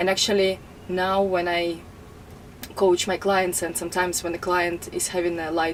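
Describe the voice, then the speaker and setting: Amid noticeable background noise, a woman with a Russian accent and a fairly low pitch talks at a moderate pace. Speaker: life coach. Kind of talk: self-introduction to camera.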